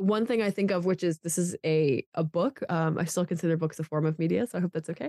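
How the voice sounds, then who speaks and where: A woman's very fast, fairly low-pitched speech with an American accent, ordinary pitch variation, very even loudness, and a dry, close sound with no echo. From Pennsylvania. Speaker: college student. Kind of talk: casual interview. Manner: loud, animated.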